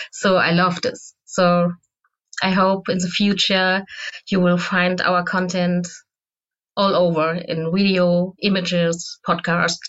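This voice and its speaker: A woman with a German accent speaks at a very slow pace in a medium pitch, with monotone, flat intonation and very even loudness. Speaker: SEO manager. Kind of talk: interview.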